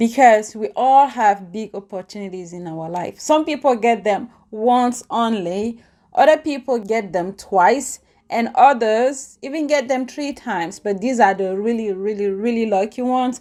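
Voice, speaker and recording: With a non-native accent, a woman speaks at a moderate pace in a fairly high, dark and mellow voice with lively intonation, on a very clean recording with a silent background. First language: not English. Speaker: YouTuber, lifestyle and empowerment vlogger. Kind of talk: casual vlog talk to camera. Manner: animated.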